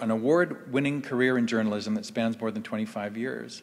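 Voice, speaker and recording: Behind this man the background stays quiet. His delivery moves at a fairly quick pace. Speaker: event host introducing speakers. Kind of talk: formal introduction speech. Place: stage. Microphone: podium.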